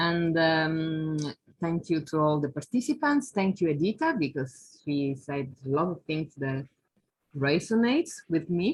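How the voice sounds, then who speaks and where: A woman with an Italian accent speaks at a fairly slow pace with very deep, low pitch, ordinary pitch variation and a somewhat breathy quality. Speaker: academic researcher. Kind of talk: online talk.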